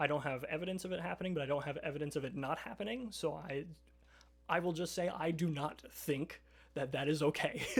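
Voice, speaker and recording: Music plays behind a man with a high pitch and ordinary pitch variation. He talks at a very fast pace. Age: 20s. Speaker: streamer. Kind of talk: casual chat. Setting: live stream. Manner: halting.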